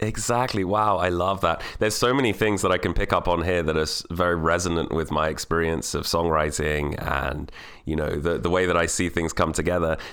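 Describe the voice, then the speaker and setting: A man speaks very fast with hardly any pauses, at a fairly quick pace and a very deep, low pitch. His animated tone shows ordinary pitch variation. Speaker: podcast host and radio presenter. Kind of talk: casual interview chat. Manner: animated, chatty, self-deprecating.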